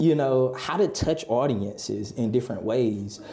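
In an American accent, a man speaks at a medium pitch and a moderate pace. His tone is animated and enthusiastic, with ordinary pitch variation. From North Carolina, Halifax County. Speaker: communications executive and magazine founder. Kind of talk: casual interview. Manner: animated, enthusiastic; frequent fillers and word repetitions.

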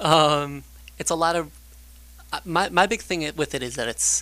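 At a fairly slow pace, a man speaks. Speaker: guest. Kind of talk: casual chat.

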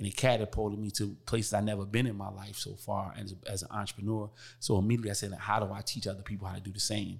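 On a very clean recording with a silent background, a man speaks very fast in a fairly low, somewhat breathy, flat monotone. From Newark, New Jersey. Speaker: author and entrepreneur. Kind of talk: podcast interview.

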